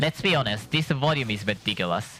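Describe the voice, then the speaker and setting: With a non-native accent, a man talks at medium pitch and a moderate pace with lively intonation. Noticeable background noise is present. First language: not English. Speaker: gaming streamer. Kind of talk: gameplay commentary. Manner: halting.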